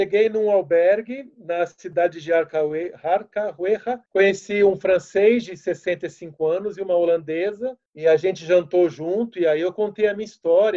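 In a São Paulo accent, a man with a high pitch and a dark, mellow tone talks fairly slowly with fairly even intonation. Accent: Brazilian Portuguese, paulistano. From Brazil, São Paulo city. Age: 40s. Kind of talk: casual interview.

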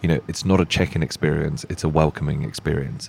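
Over noticeable background noise, a man with a very deep, low pitch speaks at a fairly quick pace with fairly even intonation. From Czech Republic. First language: Czech. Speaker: tech company founder. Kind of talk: interview. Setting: live at a hotel event.

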